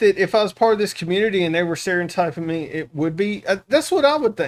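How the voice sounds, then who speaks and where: A high-pitched man talks at a fairly quick pace with a Southern US accent. His intonation is lively. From US South. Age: 40s. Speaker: reaction streamer. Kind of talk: casual chat.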